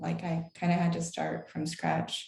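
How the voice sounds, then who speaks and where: Here a woman speaks with a fairly low pitch and a somewhat breathy voice. Audible room echo surrounds her. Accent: Chinese. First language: Chinese. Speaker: tech company employee. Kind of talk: panel discussion. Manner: halting.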